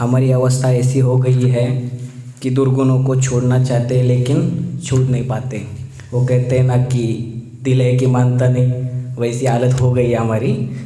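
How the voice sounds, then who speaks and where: A man's medium-pitched, monotone voice with flat intonation, plus audible room echo and noticeable background noise. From Satara district, Maharashtra, India. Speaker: meditation retreat participant. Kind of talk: testimony, partly read from notes. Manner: halting, with fillers.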